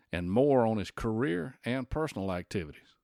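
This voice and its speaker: Very wide pitch swings from a man at a moderate pace, on a very clean recording, silent background. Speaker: podcast host. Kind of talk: podcast narration. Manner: conversational.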